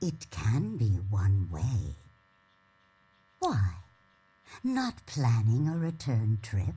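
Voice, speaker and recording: A put-on character voice speaks low and very slowly. Long pauses come often. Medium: video game. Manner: aloof, world-weary.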